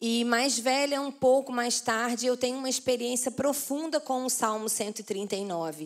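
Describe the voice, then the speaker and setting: A woman with a Carioca accent talks fairly slowly at a high pitch, with ordinary pitch variation. The recording is very clean, the background silent. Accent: carioca (Rio) Portuguese. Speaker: pastor. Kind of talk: sermon. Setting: church conference with audience.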